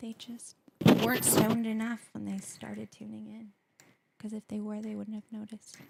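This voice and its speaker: Soft-spoken woman at a moderate pace, big swings in loudness, dry, close sound with no echo. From Latin American heritage. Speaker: co-host helper. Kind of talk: casual livestream chat. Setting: host's home kitchen, livestream.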